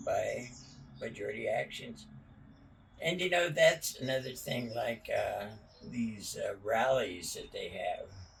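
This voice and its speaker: The speech moves at a fairly slow pace, broken by long, frequent pauses. Background noise is noticeable. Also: man. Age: 90s. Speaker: elderly interviewee. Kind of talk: casual chat.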